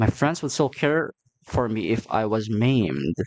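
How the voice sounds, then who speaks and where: A man talks with a non-native accent. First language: not English. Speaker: gaming youtuber. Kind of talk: let's play commentary. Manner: halting.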